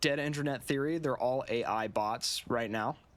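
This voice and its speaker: A man speaks at medium pitch. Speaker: vlogger. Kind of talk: unscripted monologue. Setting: alone in front of a camera. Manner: halting.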